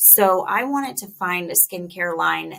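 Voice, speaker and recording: This voice has a bright, sharp tone with vocal fry and an American accent. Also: woman. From Chicago, US Midwest. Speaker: dermatologist, skincare brand founder. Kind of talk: casual professional interview.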